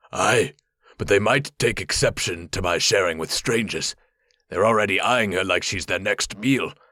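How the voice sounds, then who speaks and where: A man's put-on character voice, raspy and medium-pitched, at a moderate pace. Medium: read story. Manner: plain, folksy.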